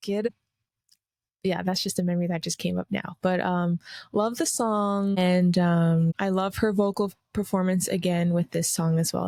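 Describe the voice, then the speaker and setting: In a very clean recording with a silent background and a dry, close sound with no echo, a woman speaks at a medium pitch and a moderate pace in a plain, everyday voice. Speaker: podcast host. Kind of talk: casual solo review. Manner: casual, with many fillers.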